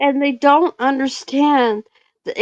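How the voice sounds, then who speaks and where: Dry and close with no echo, a woman's high-pitched voice moves at a very slow pace. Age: 60s. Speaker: live streamer. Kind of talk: casual chat.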